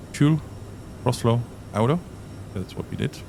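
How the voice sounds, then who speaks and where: A man with a German accent speaks at a medium pitch with very wide pitch swings over noticeable background noise. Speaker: flight sim tutorial presenter. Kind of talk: tutorial. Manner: casual, hesitant with fillers.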